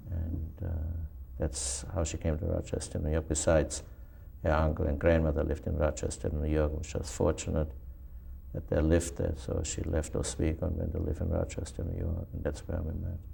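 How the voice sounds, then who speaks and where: A man speaks at a fairly quick clip in a very deep, low voice with vocal fry, a dark, mellow tone and fairly even intonation. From Germany. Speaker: Holocaust survivor. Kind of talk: oral history interview. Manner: halting.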